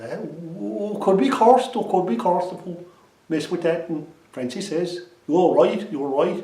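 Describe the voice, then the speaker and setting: Speaking with an Irish accent, a man sets a fairly slow pace. His pitch is high. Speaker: storyteller. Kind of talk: traditional storytelling.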